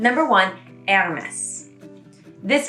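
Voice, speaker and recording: With music in the background, a woman with an American accent speaks fairly slowly in an upbeat tone, her pitch swinging very widely. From United States. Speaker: YouTuber, French pronunciation explainer. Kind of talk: casual talk to camera.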